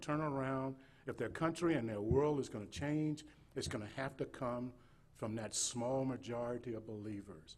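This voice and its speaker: With an American accent, a man speaks at a moderate pace in a medium pitch with ordinary pitch variation, and audible room echo surrounds him. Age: 60s. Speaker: state missionary. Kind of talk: sermon. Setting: church. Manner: halting, repetitive.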